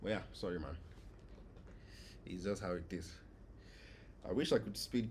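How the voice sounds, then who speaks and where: A man talks at a moderate pace with long, frequent pauses. His very deep, low voice is somewhat breathy, with ordinary pitch variation. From Nigeria. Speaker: gaming streamer. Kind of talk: live gameplay stream chat. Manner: casual, conversational.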